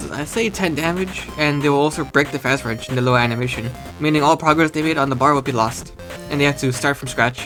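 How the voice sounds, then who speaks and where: With music in the background, a man talks at a very fast pace in a fairly high pitch with fairly even intonation. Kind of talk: casual game concept commentary. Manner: casual, relaxed.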